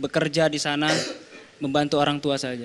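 A man talks with a fairly high pitch in a monotone, flat intonation. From Indonesia, Sukabumi, West Java; West Java, Indonesia. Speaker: professional footballer; guest. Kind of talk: TV panel interview. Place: studio. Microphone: handheld.

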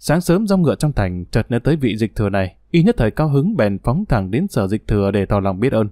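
A very fast man's voice with hardly any pauses, a dark, mellow tone, very wide pitch swings and a dry sound with no echo. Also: very even loudness, quiet background. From Vietnam. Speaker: audiobook narrator. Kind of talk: reading aloud. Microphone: studio mic.

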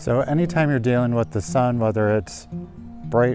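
A man at a moderate pace, dry with no echo, over clear background music. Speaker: nature photography host. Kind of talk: tutorial. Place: open country. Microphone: lapel.

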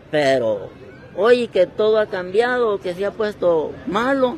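A man at a very slow pace with ordinary pitch variation, dry sound with no echo, and light background noise. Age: 70s. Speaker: hammock street vendor. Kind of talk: interview answer. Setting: outdoors. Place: street. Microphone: handheld.

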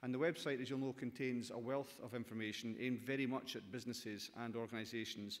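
A man with a Scottish accent speaks at a fairly quick pace. His intonation is monotone and flat. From Scotland. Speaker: government minister. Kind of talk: conference speech. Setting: stage with audience. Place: hall. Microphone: podium.

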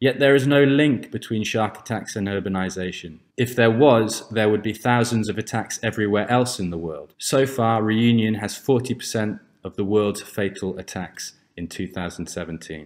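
There are hardly any pauses as a man with an ordinary speaking voice, fairly low pitch and ordinary pitch variation talks in a very clean recording with a silent background. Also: fairly slow pace. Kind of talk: conference lecture.

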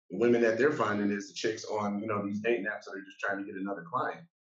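Fairly even intonation with audible room echo over a quiet background. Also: man. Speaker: panelist. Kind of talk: panel discussion. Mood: frank, reflective. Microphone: video call.

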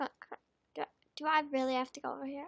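A woman with a high pitch speaks in a raised, projected voice. The sound is dry and close, with no echo. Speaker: gaming youtuber. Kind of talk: gameplay commentary. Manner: loud. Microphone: far from the mic.

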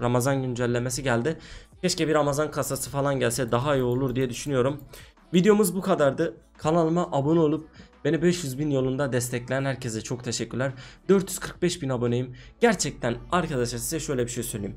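Faint music sits in the background. A man speaks at a fairly quick pace with ordinary pitch variation. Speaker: gaming youtuber. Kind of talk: casual gameplay commentary. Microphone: headset.

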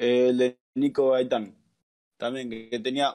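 This is a man's voice at a medium pitch. He speaks with a Rioplatense accent. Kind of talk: casual chat. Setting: live stream.

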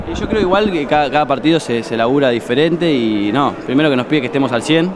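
The man's delivery comes at a fairly quick pace with ordinary pitch variation, the sound dry with no echo and noticeable background noise around it. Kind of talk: interview answer. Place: hall. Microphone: handheld.

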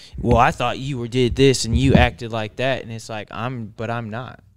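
Intonation stays fairly even as a man talks at a moderate pace. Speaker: podcast co-host. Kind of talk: casual chat. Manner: playful. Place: studio. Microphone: studio mic.

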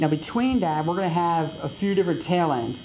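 Music playing behind a male voice with ordinary pitch variation. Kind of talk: tutorial. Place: studio.

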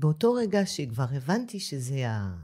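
This woman's voice is very deep and low, with a dark, mellow tone. It is somewhat breathy, with very wide pitch swings. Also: very clean recording, silent background. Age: 50s. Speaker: dentist. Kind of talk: interview conversation.

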